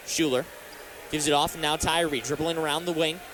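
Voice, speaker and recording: Monotone, flat intonation comes at a moderate pace against noticeable background noise. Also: man. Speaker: sports broadcaster. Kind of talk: radio play-by-play basketball commentary.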